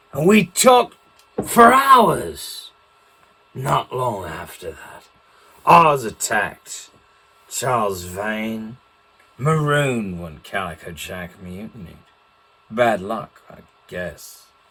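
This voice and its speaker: A man uses a put-on character voice at a medium pitch, speaking very slowly with long, frequent pauses. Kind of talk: in-character storytelling talk.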